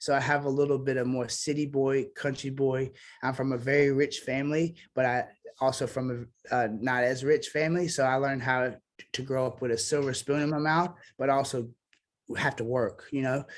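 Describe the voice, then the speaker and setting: Moderate pace and fairly even intonation. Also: man, medium pitch for a man. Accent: Southern US. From US South (Memphis, Tennessee and Mississippi). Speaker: singer-songwriter. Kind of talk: casual interview chat.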